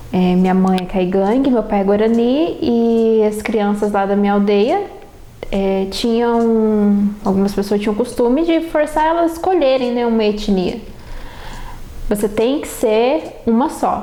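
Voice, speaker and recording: A woman speaks at a fairly slow pace with a fairly high pitch and lively intonation. Audible room echo and noticeable background noise surround her voice. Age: 20s. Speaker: university student. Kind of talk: personal autobiographical testimony.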